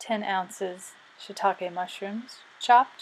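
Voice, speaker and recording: A woman at a very slow pace, medium pitch, fairly even intonation, in an American accent. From Southern US. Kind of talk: class presentation.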